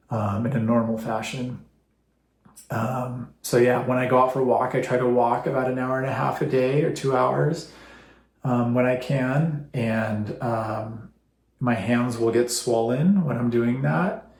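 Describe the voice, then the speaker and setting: Audible room echo surrounds a somewhat breathy voice that moves at a fairly slow pace with ordinary pitch variation. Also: man, medium pitch for a man. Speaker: vlogger sharing personal health story. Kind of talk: personal testimony to camera. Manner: halting, trips over words; unscripted, many fillers.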